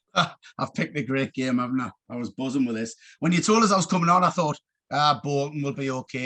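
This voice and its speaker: Against a quiet background, a man with a Geordie accent talks very fast in a fairly high, bright, sharp voice. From northeast England, Gateshead. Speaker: youth football coach. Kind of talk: casual chat.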